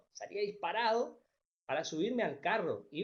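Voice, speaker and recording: The speaker is a man. He goes at a fairly slow pace. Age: 60s. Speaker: teacher. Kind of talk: lecture.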